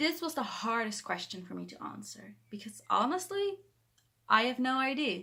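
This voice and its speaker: Bright and sharp in tone, a woman with a Dutch accent speaks at a moderate pace. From Netherlands. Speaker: book vlogger. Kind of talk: vlog monologue to camera. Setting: bedroom, talking to camera. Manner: halting, self-correcting.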